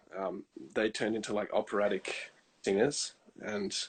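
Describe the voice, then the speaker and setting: A man speaks with an Australian accent. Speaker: countertenor singer. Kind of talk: casual interview.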